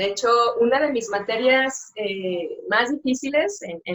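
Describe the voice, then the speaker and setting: A woman speaks at a fairly high pitch. Her intonation is lively and her pace fairly slow. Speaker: sign language interpreter. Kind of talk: interview. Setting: live stream. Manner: hesitant, many fillers.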